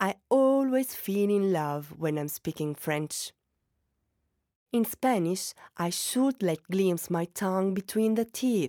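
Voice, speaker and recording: On a very clean recording with a silent background and a dry, close sound without echo, a woman with a dark, mellow tone and lively intonation speaks at a very slow pace with long, frequent pauses. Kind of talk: accent practice.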